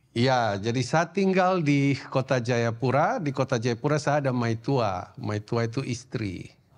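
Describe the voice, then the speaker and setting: A man with an ordinary speaking voice talks at a fairly slow pace with hardly any pauses, medium pitch and ordinary pitch variation. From Indonesia, Papua (Sorong). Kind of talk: sermon.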